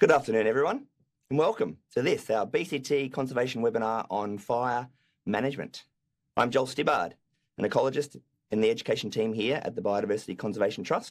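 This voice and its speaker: A man puts on a croaky character voice at a medium pitch and a very fast pace. The recording is very clean with a silent background. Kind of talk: formal, professional presenter.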